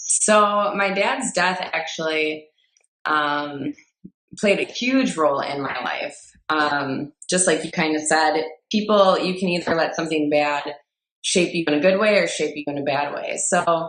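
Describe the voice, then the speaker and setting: A woman speaks at a fairly slow pace with a Midwestern accent, her fairly low pitch moving with ordinary variation. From US Midwest, Fond du Lac, Wisconsin. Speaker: personal trainer and entrepreneur. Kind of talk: personal story in podcast interview.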